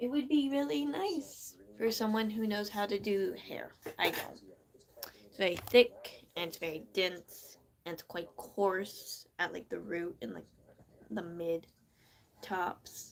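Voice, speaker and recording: A woman's very slow, lively speech with an American accent, medium pitch, big swings in loudness, long and frequent pauses, and noticeable background noise. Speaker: live streamer. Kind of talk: casual chat. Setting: live stream. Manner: slow, deliberate enunciation.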